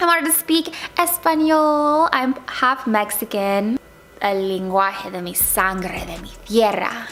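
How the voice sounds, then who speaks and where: A woman with an American accent at a fairly high pitch and very slow pace, with very wide pitch swings, big swings in loudness and noticeable background noise. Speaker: lifestyle vlogger. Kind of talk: casual vlog talk. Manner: animated.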